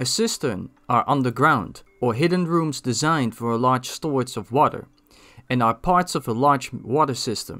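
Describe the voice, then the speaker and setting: A man talks at a moderate pace with a Dutch accent and lively intonation. Music plays in the background. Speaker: gaming video creator. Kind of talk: scripted narration.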